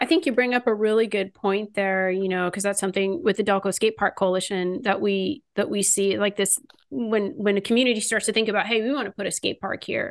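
A plain, everyday voice from a woman with an American accent, medium in pitch, at a fairly quick pace with hardly any pauses and ordinary pitch variation. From California. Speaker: podcast host, skatepark advocate. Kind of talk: interview.

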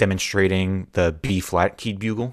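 A man with a plain, everyday voice speaks fairly slowly, his pitch fairly low and his intonation fairly even. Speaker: podcast host. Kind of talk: interview.

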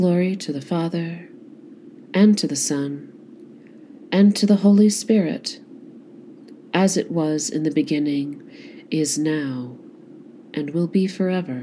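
Her voice dark, mellow and fairly low, a woman speaks very slowly with lively intonation and long, frequent pauses. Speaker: prayer service leader. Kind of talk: fervent prayer, liturgical evening prayer with responses and scripture. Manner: solemn, earnest; measured, devout.

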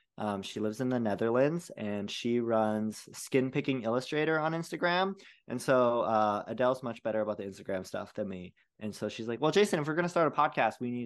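A man talks at a fairly quick pace in a normal speaking voice, medium in pitch with lively intonation, over a quiet background. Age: 30s. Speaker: BFRB and ADHD coach. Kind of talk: casual interview.

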